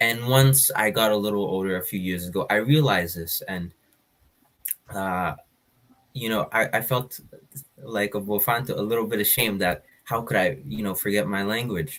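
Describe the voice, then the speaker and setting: The speaker has an Ethiopian accent and a moderate pace. Pitch varies in an ordinary way, with long, frequent pauses. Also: man, fairly low pitch for a man. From Kenya and Canada. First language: Afan Oromo. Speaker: guest speaker. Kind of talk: live panel discussion.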